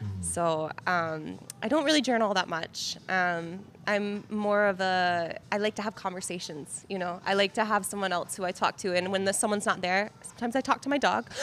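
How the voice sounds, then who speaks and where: A woman with a plain, everyday voice, medium pitch and ordinary pitch variation, fairly quick pace and hardly any pauses. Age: 20s. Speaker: photographer. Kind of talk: casual chat.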